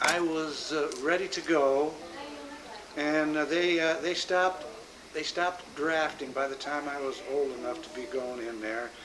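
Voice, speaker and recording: A man at a fairly high pitch with an American accent and a fairly slow pace, audible room echo, and noticeable background noise. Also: ordinary pitch variation. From US Midwest, Omaha, Nebraska. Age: 60s. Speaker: grandfather interviewed about his life. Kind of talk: oral history interview. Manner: halting, many fillers.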